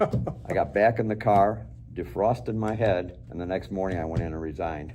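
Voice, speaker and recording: Music plays behind a man with an American accent who talks at a moderate pace. His pitch is very deep and low, with very wide swings. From Chicago, US Midwest. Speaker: retired police officer. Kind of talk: interview. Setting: studio.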